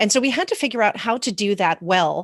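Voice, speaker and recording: In a plain, everyday voice, a woman talks at a fairly quick pace with ordinary pitch variation, her sound dry and close with no echo over a quiet background. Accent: American. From US. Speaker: corporate governance executive. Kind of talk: conference presentation.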